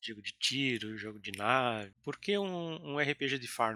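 Here a man talks at a fairly slow pace with lively intonation. His medium-pitched voice is bright and sharp. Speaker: podcast co-host. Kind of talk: podcast interview.

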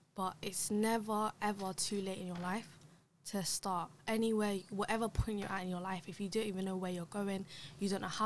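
A woman speaks in a London accent. Her pitch is medium. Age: 20s. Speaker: podcast guest. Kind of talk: casual chat. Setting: studio. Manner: animated.

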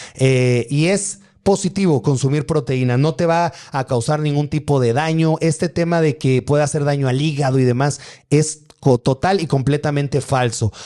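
Fairly high-pitched male voice with a dark, mellow tone, very even loudness, ordinary pitch variation and a moderate pace over a quiet background. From Mexico, Atizapán, Estado de México. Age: 30s. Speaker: bodybuilder and fitness influencer. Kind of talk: livestream Q&A. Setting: live stream.

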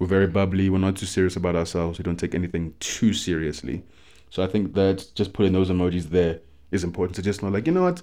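Against a quiet background, a man with a very deep, low pitch talks at a very fast pace in a monotone, flat intonation. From South Africa. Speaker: podcast co-host. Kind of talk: casual chat.

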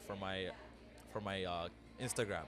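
The intonation stays fairly even. It belongs to a man's voice. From Ethiopia. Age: 20s. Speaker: freelance videographer. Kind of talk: casual interview.

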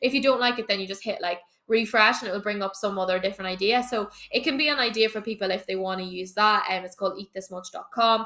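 A woman talks very fast at a medium pitch. Her tone is animated, with ordinary pitch variation. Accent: Irish. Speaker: fitness coach. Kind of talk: Q&A episode.

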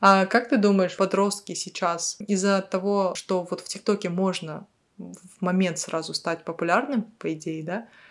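On a very clean recording with a silent background, a woman with an unremarkable speaking voice talks fairly slowly at a medium pitch, her intonation fairly even but her loudness swinging widely. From Kazakhstan, Kyzylorda. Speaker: podcast co-host. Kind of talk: casual chat.

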